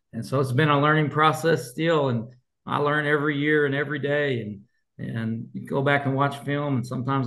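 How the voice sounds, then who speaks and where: With an American accent and a plain, everyday voice, a man talks at a fairly high pitch and a moderate pace, his intonation fairly even. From Colorado. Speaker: high school football coach. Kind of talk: interview.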